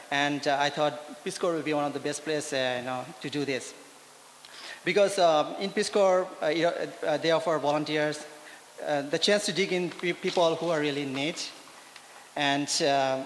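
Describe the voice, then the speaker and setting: Noticeable background noise sits behind a man with a fairly high pitch and fairly even intonation. He keeps a moderate pace with long, frequent pauses. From India. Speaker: Peace Corps volunteer. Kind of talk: personal testimony. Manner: halting, many fillers.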